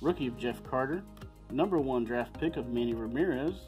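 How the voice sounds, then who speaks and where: The speech moves at a moderate pace with clear music in the background. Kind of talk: casual vlog chat. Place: home room.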